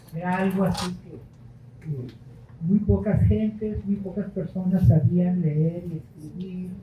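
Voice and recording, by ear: A man with a high pitch, slow pace and fairly even intonation, plus audible room echo.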